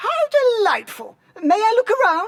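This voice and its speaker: A put-on character voice is pitched extremely high and sounds squeaky. It moves at a moderate pace. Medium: video game. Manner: polite, perky.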